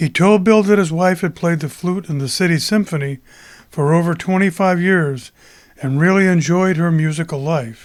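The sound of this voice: A high-pitched male voice at a moderate pace, fairly even in intonation, on a very clean recording with a silent background.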